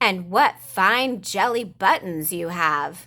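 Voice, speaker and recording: A woman puts on a growling character voice at a medium pitch. She speaks at a very slow pace. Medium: read story. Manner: mooing.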